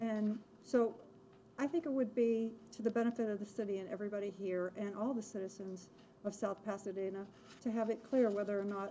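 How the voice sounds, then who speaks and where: A woman with a dark, mellow tone speaks at medium pitch and a fairly quick pace, her intonation fairly even. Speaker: resident speaking at public forum. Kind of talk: public comment. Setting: city commission chamber. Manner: soft-spoken.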